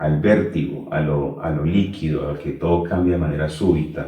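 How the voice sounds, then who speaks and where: In a room with audible echo, a man with a Colombian accent speaks slightly breathily at a fairly slow pace, his very deep, low voice dark and mellow with fairly even intonation. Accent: Colombian, noticeable. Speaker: teacher and Kabbalah instructor. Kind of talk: interview.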